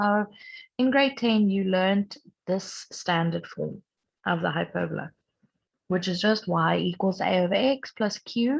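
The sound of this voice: A woman with vocal fry speaks at a medium pitch and a fairly slow pace, her pitch varying in an ordinary way.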